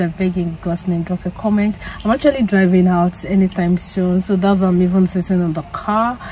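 A woman speaks at a fairly quick pace with a medium pitch, a dark, mellow tone and fairly even intonation, over faint background noise.

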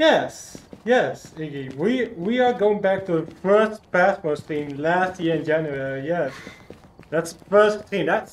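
Over noticeable background noise, the speaker moves at a very slow pace with lively intonation. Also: man, high pitch for a man. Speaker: gaming streamer. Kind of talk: casual livestream gameplay chat. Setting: livestream with friends on voice chat. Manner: animated.

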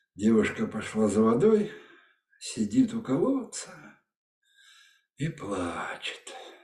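A man talks at a very slow pace, with audible room echo and a quiet background. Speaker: storyteller. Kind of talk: fairy tale reading. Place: home room. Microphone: webcam.

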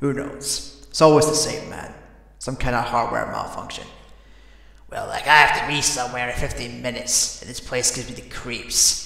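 A man's put-on character voice, raspy and medium-pitched, at a moderate pace with clear echo. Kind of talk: voice impressions of game characters.

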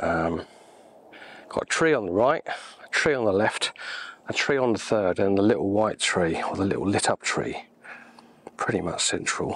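With an English accent, a man speaks at a moderate pace and a fairly low pitch. His intonation is lively, broken by long, frequent pauses. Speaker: landscape photographer. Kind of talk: thinking aloud while working, tutorial commentary. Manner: hesitant, musing.

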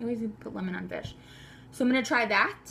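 Light background noise behind a woman speaking. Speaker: home cook vlogger. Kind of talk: casual vlog chat. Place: kitchen. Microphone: phone near.

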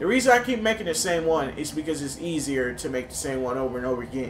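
Talking at a very fast pace, a man with a fairly high pitch uses lively intonation over music in the background, with audible room echo. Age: 20s. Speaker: gaming YouTuber. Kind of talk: gameplay commentary.

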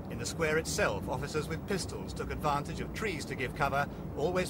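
A man with a British accent at a fairly quick pace, amid noticeable background noise. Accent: British broadcast English. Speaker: news reporter. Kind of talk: 1980s TV news report narration. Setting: archive clip, street news report. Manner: formal, measured, brisk broadcast delivery.

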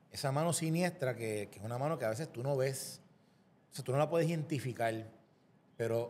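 Fairly quick, somewhat breathy speech in a Puerto Rican accent with ordinary pitch variation. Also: man. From Puerto Rico. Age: young. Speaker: lawyer and former government official; lawyer. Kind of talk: political interview. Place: studio. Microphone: studio mic.

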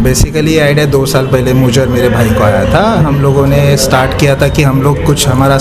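A man speaks at a moderate pace. Loud music plays in the background. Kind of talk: interview answer. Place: cafe. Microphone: handheld.

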